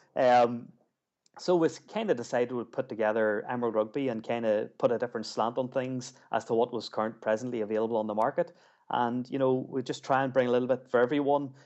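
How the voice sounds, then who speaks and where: In an Ulster accent, a man with a medium pitch speaks at a very fast pace with fairly even intonation. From Ulster, Northern Ireland. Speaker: magazine editor. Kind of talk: interview. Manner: halting, many fillers and repeats.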